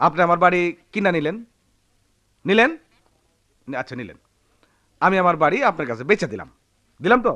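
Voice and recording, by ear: Putting on a character voice, a man talks at a fairly quick pace in a high, bright, sharp tone with big pitch swings and long, frequent pauses.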